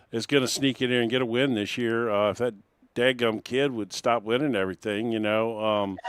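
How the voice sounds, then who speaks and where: This is an ordinary speaking voice from a man at medium pitch. He talks at a fairly quick pace with fairly even intonation. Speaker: race broadcast host. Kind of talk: post-race interview.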